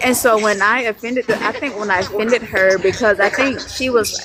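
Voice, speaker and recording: Over noticeable background noise, a woman with a medium pitch speaks at a fairly quick pace with fairly even intonation. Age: 20s. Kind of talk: casual chat. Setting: live stream.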